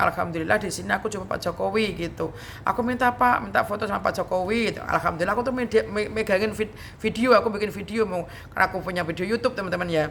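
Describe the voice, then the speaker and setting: Very fast speech from a woman at a medium pitch. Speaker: YouTube vlogger. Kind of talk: casual storytelling vlog.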